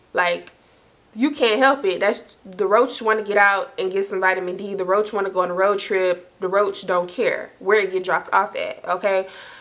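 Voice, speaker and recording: Against noticeable background noise, a woman talks at a moderate pace in an animated tone, her medium pitch showing ordinary variation. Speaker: storytime YouTuber. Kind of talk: casual storytelling monologue.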